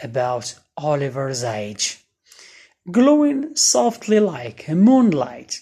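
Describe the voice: Slow and with lively intonation, a woman speaks in a dark, mellow tone with a slightly husky edge.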